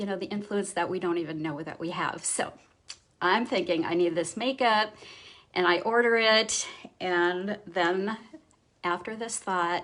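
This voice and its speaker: A woman at a medium pitch speaks at a fairly slow pace with ordinary pitch variation and long, frequent pauses. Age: 50s. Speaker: makeup artist and teacher. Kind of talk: casual talk to camera on a live stream.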